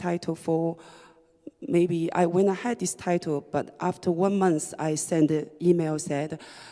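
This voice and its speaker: In a Chinese accent, a woman with a fairly low, dark, mellow voice speaks at a very slow pace. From China, Shanghai. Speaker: writer and DJ. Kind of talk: reading performance talk. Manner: halting, hesitant with fillers.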